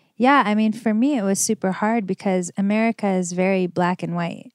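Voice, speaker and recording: A woman talks at a moderate pace with medium pitch and ordinary pitch variation. The recording is very clean and dry, close with no echo, against a silent background. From Los Angeles, California. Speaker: fashion designer and entrepreneur. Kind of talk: interview.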